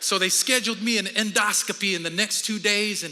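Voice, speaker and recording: A man with a high pitch speaks in a raised, projected voice at a fairly quick pace. Music plays in the background, and the room echo is audible. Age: 50s. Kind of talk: sermon. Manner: animated.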